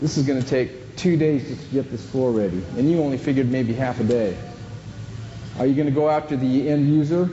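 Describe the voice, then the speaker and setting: Audible room echo and noticeable background noise surround a voice that goes at a fairly quick pace with ordinary pitch variation. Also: man. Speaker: flooring installation trainer. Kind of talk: training seminar. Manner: loud; animated.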